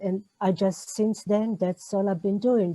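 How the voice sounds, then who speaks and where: A woman with an Israeli accent has a medium pitch and a dark, mellow tone, heard in a dry, close sound with no echo. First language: Hebrew. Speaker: novelist. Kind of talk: interview. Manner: halting.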